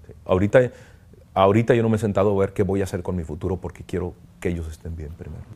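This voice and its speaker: Very fast pace with long, frequent pauses, fairly even intonation and a dark, mellow tone. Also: man, very deep, low pitch for a man. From Tijuana, northern Mexico; northern Mexico. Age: 50s. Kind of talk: interview testimony. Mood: reflective, emotional, grateful. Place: home room. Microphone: lapel.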